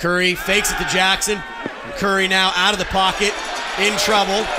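Noticeable background noise surrounds a man's raised, projected voice. His pitch is high. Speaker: play-by-play announcer and interviewer. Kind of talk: live play-by-play sports commentary. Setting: stadium broadcast booth.

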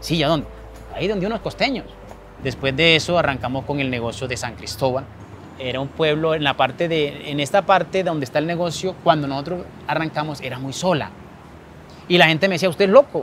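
With a coastal Colombian accent, a man talks at a fairly quick pace with ordinary pitch variation and long, frequent pauses, the sound dry with no echo and light background noise behind him. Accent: Colombian coastal (costeño) Spanish. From Colombian Caribbean coast, Montería, Córdoba; Colombian Caribbean coast. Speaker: small business owner. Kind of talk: interview.

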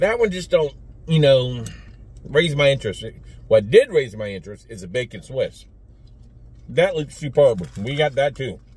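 The speaker is somewhat breathy at a moderate pace, with long, frequent pauses and big swings in loudness. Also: man, dry sound with no echo. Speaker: food reviewer vlogger. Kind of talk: casual vlog chat. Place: car. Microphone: phone near.

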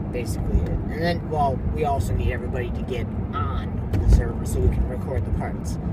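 A man speaks fairly quickly, the sound dry with no echo, though loud noise runs in the background. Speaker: vlogger. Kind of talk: casual vlog chat. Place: car. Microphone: phone near.

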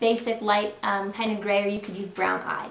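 A woman at a moderate pace, with noticeable noise in the background. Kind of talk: tutorial. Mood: friendly, upbeat. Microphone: webcam.

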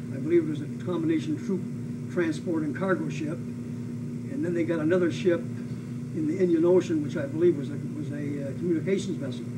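Over loud background noise, a man speaks at a fairly quick pace with an American accent. His pitch is fairly high, with ordinary variation. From US Pacific Northwest. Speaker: WWII veteran and former prisoner of war, aviator. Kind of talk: oral history interview, elder life story of wartime captivity and rescue. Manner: solemn, matter-of-fact, emphatic on atrocities. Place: home room.

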